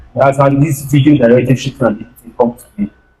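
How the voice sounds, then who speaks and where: A man speaks at a fairly quick pace in a fairly high pitch. His tone is dark and mellow, and somewhat breathy. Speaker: videographer and video editor. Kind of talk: guest talk at youth church. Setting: church stage with audience.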